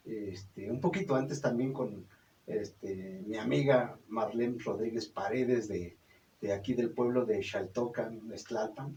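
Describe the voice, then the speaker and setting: A man talks at a fairly slow pace in a medium pitch with ordinary pitch variation. His tone is dark and mellow, and somewhat breathy. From Mexico, Zumpango, State of Mexico. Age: 60s. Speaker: puppeteer and storyteller. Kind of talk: radio interview. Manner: halting, many fillers.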